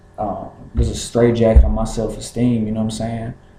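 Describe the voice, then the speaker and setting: Amid noticeable background noise and audible room echo, a man with an American accent talks at medium pitch and a moderate pace. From Kentucky, US. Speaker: rapper. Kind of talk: casual vlog monologue. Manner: halting, many fillers and repeats.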